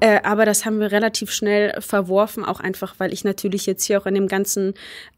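Over noticeable background noise, a woman of medium pitch talks very fast in a monotone, flat delivery. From Germany. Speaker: hurdle sprinter. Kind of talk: interview. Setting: university.

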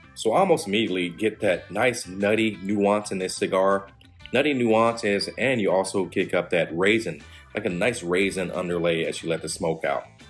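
Over faint background music, a man with a fairly low pitch and ordinary pitch variation speaks at a moderate pace. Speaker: cigar reviewer. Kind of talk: product review commentary. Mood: relaxed, appreciative. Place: home room.

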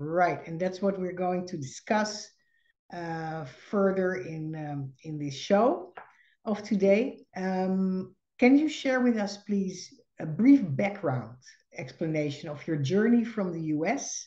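Against a quiet background, a woman with a Dutch accent and a dark, mellow tone speaks very slowly with lively intonation. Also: big swings in loudness. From Netherlands. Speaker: podcast host and psychologist. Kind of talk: podcast interview. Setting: video call. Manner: halting. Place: home room. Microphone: video call.

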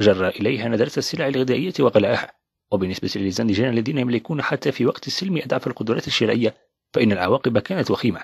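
A man's unremarkable speaking voice at medium pitch, fairly quick in pace, with ordinary pitch variation and a dry, close sound with no echo. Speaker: audiobook narrator. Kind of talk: reading aloud.

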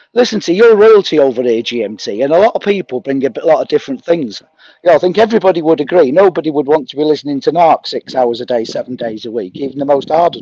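Very fast speech in a Mancunian accent with very wide pitch swings. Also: man, fairly high pitch for a man, hardly any pauses. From Manchester, northern England. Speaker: livestream chat participant. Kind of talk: casual chat.

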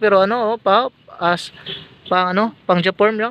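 At a moderate pace, a man projects a raised, high-pitched voice with a bright, sharp tone and fairly even intonation, the sound dry with no echo. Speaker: vlogger. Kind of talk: casual talk to camera. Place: workshop. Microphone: phone near.

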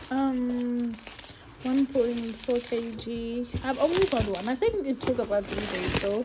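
Against noticeable background noise, a woman with a high voice speaks at a very slow pace with ordinary pitch variation. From South Africa. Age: 20s. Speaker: vlogger and kindergarten English teacher. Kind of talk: casual vlog narration. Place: bathroom. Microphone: phone near.

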